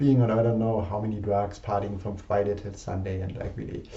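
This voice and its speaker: Amid noticeable background noise and audible room echo, a man speaks at a moderate pace in a monotone, flat delivery. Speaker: personal development participant. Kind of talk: personal vlog confession. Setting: alone in a room facing a mirror. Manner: halting.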